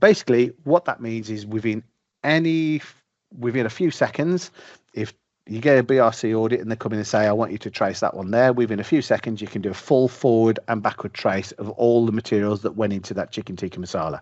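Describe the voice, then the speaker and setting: The speaker has a British accent and a very fast pace. Pitch varies in an ordinary way. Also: man, medium pitch for a man. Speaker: software presenter. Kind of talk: product demo. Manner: informal.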